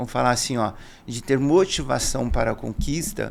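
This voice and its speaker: Lively intonation at a medium pitch in a man's voice, a plain, everyday voice. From Brazil, interior of São Paulo state. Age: 50s. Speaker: business owner, salesman. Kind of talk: podcast interview. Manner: conversational, informal.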